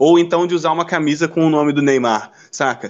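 A man speaks at a very fast pace in a high voice, with ordinary pitch variation. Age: 20s. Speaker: podcast host. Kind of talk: casual chat.

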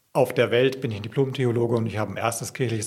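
Here a man talks at a very fast pace in a somewhat breathy voice. His pitch is medium and his intonation fairly even. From Franconia, Bavaria (Coburg region). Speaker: pastor. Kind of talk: casual interview.

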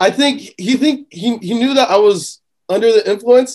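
A man speaks with an American accent, high in pitch and slightly mellow in tone. His pace is moderate and his pitch variation ordinary.

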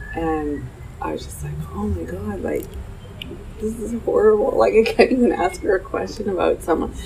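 A woman speaks fairly quickly, with noticeable background noise in the recording. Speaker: cafe owner. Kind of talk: interview.

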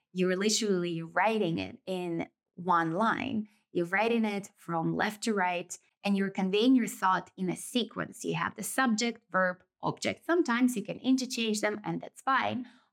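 A woman with a Russian accent at a moderate pace and medium pitch, ordinary pitch variation, very clean recording with a silent background. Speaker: podcast host. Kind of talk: solo reflective monologue. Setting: indoors, rural village with background noise.

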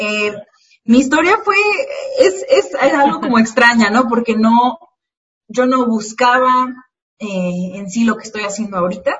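A woman with a fairly high pitch speaks at a fairly slow pace, with big swings in loudness, ordinary pitch variation, and long, frequent pauses. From Mexico, Morelia, Michoacán. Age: 20s. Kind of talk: casual interview.

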